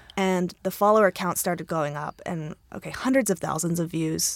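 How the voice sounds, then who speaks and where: Speaking at a fairly quick pace with an American accent, a woman has an unremarkable speaking voice, a medium pitch and fairly even intonation. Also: very clean recording, silent background. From US Mid-Atlantic, Maryland. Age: 30s. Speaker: cookbook author. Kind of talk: casual chat.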